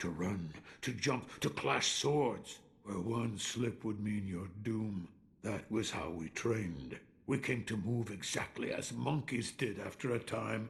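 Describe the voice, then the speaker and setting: Using a put-on character voice, a man speaks at a fairly slow pace with a fairly low pitch and lively intonation. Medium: video game. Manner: calm, reflective.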